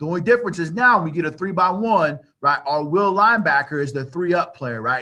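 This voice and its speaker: A man's high-pitched, bright and sharp voice at a fairly quick pace, with ordinary pitch variation. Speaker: football coach. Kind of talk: coaching clinic presentation. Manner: fast; casual, filler-heavy.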